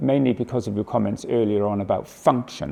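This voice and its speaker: Moving at a fairly quick pace, a man talks with a British accent. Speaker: oncologist. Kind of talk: lecture. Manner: fast; hesitant fillers.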